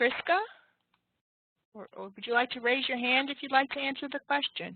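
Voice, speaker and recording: With a New York accent, a woman talks at a fairly quick pace in a high pitch, with ordinary pitch variation and big swings in loudness. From New York City (Manhattan). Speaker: teacher. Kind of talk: online class lecture. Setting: online web class session.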